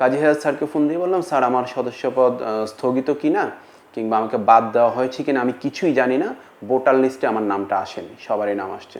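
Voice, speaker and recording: Ordinary pitch variation marks a man's medium-pitched delivery in a plain, everyday voice. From Bangladesh, Cumilla. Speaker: film actor. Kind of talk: interview statement.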